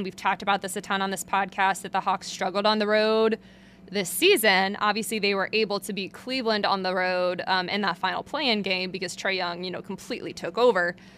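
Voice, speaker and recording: Loud and bright, sharp in tone, the voice moves at a fairly quick pace with fairly even intonation. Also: woman. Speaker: sports beat reporter and podcast host. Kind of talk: solo sports analysis podcast. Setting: back room at an arena, behind a curtain. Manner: loud, projecting; casual, filler-heavy.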